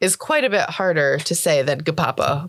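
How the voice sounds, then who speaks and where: Over noticeable background noise, a woman at medium pitch speaks at a moderate pace. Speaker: tabletop roleplaying podcast player and co-host. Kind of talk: tabletop roleplaying actual play and casual banter.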